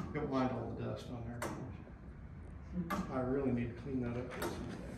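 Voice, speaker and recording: A man speaks at a moderate pace. Loud background noise and audible room echo fill the recording. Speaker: volunteer courthouse clock keeper. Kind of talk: casual talk while working. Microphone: camera far.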